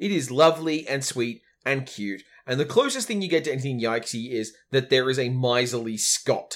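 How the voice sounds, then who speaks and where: With an Australian accent, a man talks using very wide pitch swings. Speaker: podcast host. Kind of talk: casual chat.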